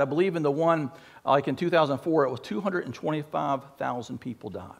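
Pitch shifts in an ordinary way. The voice belongs to a man. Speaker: pastor. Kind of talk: sermon. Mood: earnest, reflective. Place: church. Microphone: headset.

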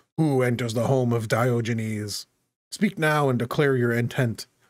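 A man's booming, put-on character voice at a medium pitch and moderate pace, very even in loudness, in a very clean recording with a silent background. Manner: commanding.

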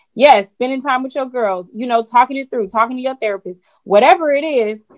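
A woman speaks fairly quickly. Her pitch varies in an ordinary way over a quiet background. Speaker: entrepreneur; guest. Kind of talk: casual panel discussion. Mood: reflective, warm. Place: home room. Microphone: video call.

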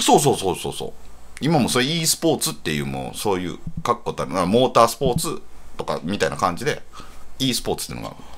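A man with a Kansai accent at a very fast pace, with big swings in loudness. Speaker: writer, radio co-host. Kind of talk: casual radio banter.

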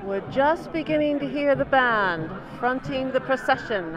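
Very wide pitch swings at a fairly slow pace, with a dry sound, no echo, and noticeable background noise. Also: woman, high pitch for a woman. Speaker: narrator of parade video. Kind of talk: narration of a live event, casual talk to camera. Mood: cheerful, informative. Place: street. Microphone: handheld.

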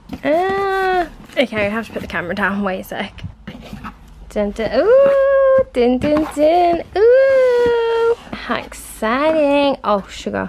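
Amid loud background noise, a woman talks at a very slow pace in a high pitch with very wide pitch swings. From England. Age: 20s. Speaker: vlogger. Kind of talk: casual talk to camera. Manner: chatty, rambling. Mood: excited, curious. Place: home room. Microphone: phone near.

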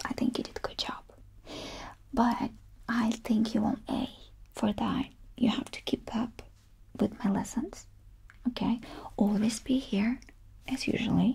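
A soft-spoken woman talks at a fairly slow pace with long, frequent pauses. Her intonation is monotone and flat. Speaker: language teacher. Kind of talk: tutorial. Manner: soft-spoken ASMR teacher voice. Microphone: camera far.

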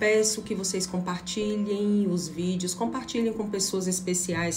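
A woman's fairly even intonation over faint background music. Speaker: tarot reader. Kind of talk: channel intro, casual direct address. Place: home room. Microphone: phone near.

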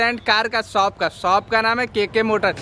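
Over light background noise, a man uses a raised, projected voice with monotone, flat intonation and a dry sound with no echo. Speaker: vlogger. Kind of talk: casual vlog chat. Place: street. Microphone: phone near.

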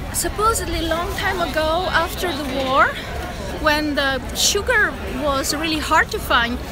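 Crowd noise sits in the background as a woman speaks in a raised, projected voice at a fairly slow pace, with ordinary pitch variation and a dry sound with no echo. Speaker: travel vlogger. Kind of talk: casual vlog chat. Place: market. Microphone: phone near.

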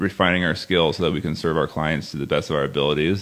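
Very deep, low pitch marks this man's voice. He speaks in an American accent with fairly even intonation. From US West Coast, San Luis Obispo County, California. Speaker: real estate buyer's agent. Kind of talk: casual interview chat.

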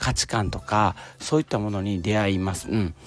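A man at a moderate pace, with a dry sound and no echo. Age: 40s. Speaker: podcaster, office worker; podcaster. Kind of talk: solo self-help talk. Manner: casual, many fillers. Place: open country.

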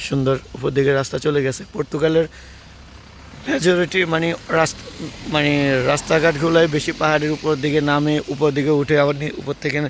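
A man's fairly high voice in a flat monotone, with noticeable background noise. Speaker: travel vlogger. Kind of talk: walking travel vlog narration. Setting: outdoors on a street. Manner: halting.

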